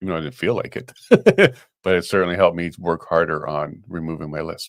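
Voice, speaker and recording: A man with a Canadian accent speaks at a very fast pace in a very deep, low voice, his intonation fairly even. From Canada (Winnipeg, Saskatoon). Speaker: talk show co-host. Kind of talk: casual chat.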